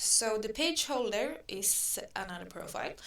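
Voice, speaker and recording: A woman's voice with a non-native accent. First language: not English. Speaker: online advertising tutor. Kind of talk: tutorial. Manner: slow; halting.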